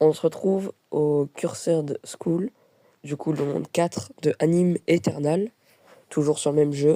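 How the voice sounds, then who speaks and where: Her pace is very slow. The woman's pitch is very deep and low. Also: ordinary pitch variation. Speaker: gaming youtuber. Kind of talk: gameplay voice-over tutorial. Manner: hesitant, many filler sounds.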